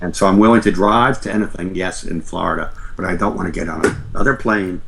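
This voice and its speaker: Over noticeable background noise and audible room echo, a man with an American accent talks very fast at a fairly low pitch. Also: ordinary pitch variation. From New York, Long Island. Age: 70s. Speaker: author and researcher. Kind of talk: interview conversation.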